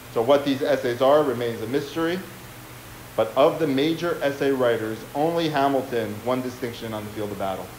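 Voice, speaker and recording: Audible room echo and light background noise surround a man speaking at a fairly quick pace with ordinary pitch variation. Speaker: historian. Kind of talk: lecture. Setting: stage with audience. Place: hall.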